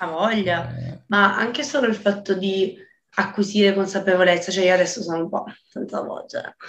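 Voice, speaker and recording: A somewhat breathy woman's voice at medium pitch, with ordinary pitch variation, a moderate pace and audible room echo. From Calabria, southern Italy. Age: 20s. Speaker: singer-songwriter, voice student. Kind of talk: casual interview chat. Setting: video call. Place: home room. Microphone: video call.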